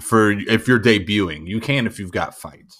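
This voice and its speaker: A man's fairly low-pitched, bright, sharp and animated tone at a moderate pace on a very clean recording with a silent background. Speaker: gym trainer and former soldier. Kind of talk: casual chat. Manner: animated, joking.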